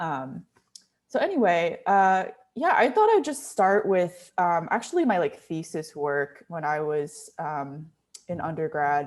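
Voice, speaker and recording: A woman with an American accent talks at a fairly slow pace in a normal speaking voice. Her pitch is fairly low, and her intonation is lively. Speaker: visual artist, sculptor. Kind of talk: artist talk presentation. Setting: video call with screen share. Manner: casual, many fillers.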